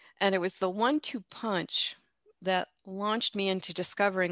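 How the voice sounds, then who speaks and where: A woman with a slight Midwestern US accent talks at a moderate pace in a medium pitch. Her pitch varies in an ordinary way over a quiet background. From US Midwest. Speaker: life coach and breast cancer survivor. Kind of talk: podcast interview. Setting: remote call.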